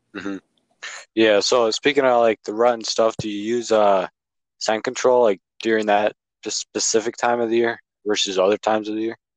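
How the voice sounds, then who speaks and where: Speaking in an Upper Midwest accent, a man talks at a fairly quick pace in a flat monotone, with long, frequent pauses, in a dry, close sound with no echo and a quiet background. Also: medium pitch for a man. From Wisconsin. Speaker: podcast host, hunter. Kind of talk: casual interview. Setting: podcast.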